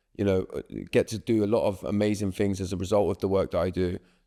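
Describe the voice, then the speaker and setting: Man with a dark, mellow tone at a fairly quick pace, on a very clean recording with a silent background. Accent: southern English. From southern England, Swindon. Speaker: breathwork and resilience coach. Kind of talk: podcast interview.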